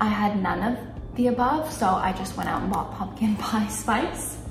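A woman is speaking with audible room echo. Noticeable background noise is also present. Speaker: lifestyle vlogger. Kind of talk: casual vlog chat. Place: kitchen. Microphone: camera far.

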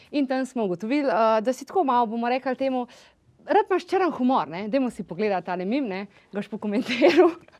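A woman's high-pitched voice with very wide pitch swings, against a quiet background. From Slovenia. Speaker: talk show host. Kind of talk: interview. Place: studio. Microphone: lapel.

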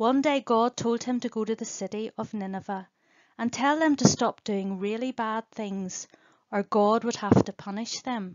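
A woman speaks at a moderate pace with a fairly high pitch, the sound dry and close with no echo. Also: ordinary pitch variation, slightly mellow tone.

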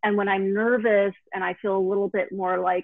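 A woman speaks at medium pitch in a dry, close sound with no echo.

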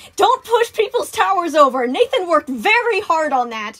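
In a put-on character voice, a woman speaks at an extremely high pitch with big pitch swings and a fairly bright tone. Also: moderate pace.

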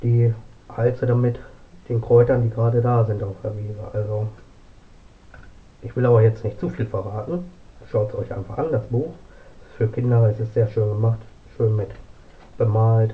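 The speech moves at a moderate pace with fairly even intonation. Long pauses come often. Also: man. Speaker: home vlogger presenting books. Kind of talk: casual vlog chat. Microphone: camera far.

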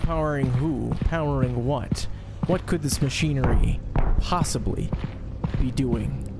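Amid loud background noise, a man uses a put-on character voice at a fairly slow pace. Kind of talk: mock documentary narration. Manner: theatrical, overdramatic, playful.

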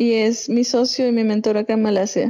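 Monotone and flat in intonation, a woman speaks in a dark, mellow tone. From Venezuela, Andes (Mérida). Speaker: entrepreneur, chocolate maker. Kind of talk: interview.

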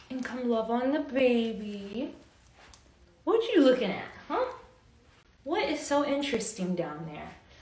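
Room echo is audible as a woman speaks at a high pitch. She goes fairly slowly, with big swings in loudness. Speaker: mother vlogger. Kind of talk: casual vlog chat. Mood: playful, teasing. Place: home room. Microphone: phone near.

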